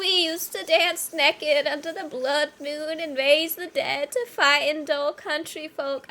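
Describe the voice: Using a put-on character voice, a woman speaks high-pitched at a moderate pace with hardly any pauses.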